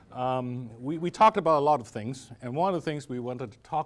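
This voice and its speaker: At a fairly quick pace, a man speaks with a medium pitch and lively intonation. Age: 60s. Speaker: retired judge, moderator. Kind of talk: public interview conversation. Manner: halting with frequent restarts.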